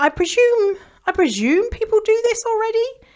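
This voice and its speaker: In a put-on character voice, a woman speaks at a moderate pace with an extremely high, squeaky pitch. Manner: exaggerated, mocking.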